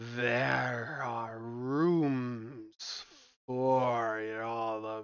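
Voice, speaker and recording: A man performs a put-on character voice. His pitch is medium and his intonation fairly even. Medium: actual play. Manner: slow, formal.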